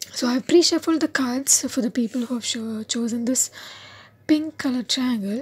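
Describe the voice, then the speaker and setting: A soft-spoken woman's high-pitched voice at a fairly slow pace, with ordinary pitch variation and music in the background. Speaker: tarot card reader. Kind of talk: tarot reading to camera.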